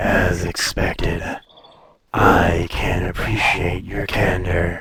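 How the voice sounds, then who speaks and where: A man's very deep, low put-on character voice at a very slow pace. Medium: audio drama. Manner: languid, superior, teasing.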